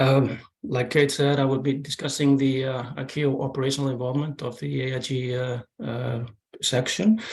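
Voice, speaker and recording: A man's medium-pitched voice in a flat, monotone intonation. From Iceland. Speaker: air accident investigator. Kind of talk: presentation. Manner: halting, many fillers.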